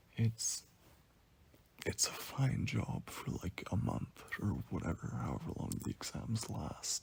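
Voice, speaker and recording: Someone whispers quietly at a very slow pace. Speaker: commentary youtuber. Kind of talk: casual monologue. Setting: in bed at home. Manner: whispery.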